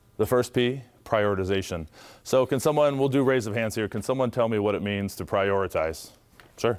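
Against a quiet background, a man with an American accent talks at a medium pitch and a fairly quick pace. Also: ordinary pitch variation. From Ohio, US Midwest. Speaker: former basketball player and tech employee; guest. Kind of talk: motivational talk to students. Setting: school audience. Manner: animated. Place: classroom. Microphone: lapel.

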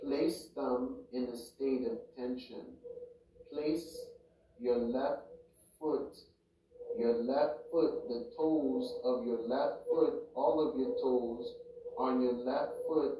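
A man talks very slowly, stopping often for long stretches, while clear background noise carries on behind him. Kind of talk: guided meditation, reading Qi Gong instructions aloud. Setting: home recording for YouTube, background audio playing. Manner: slow, measured, repetitive instruction-giving with pauses; casual, rambling, halting with fillers.

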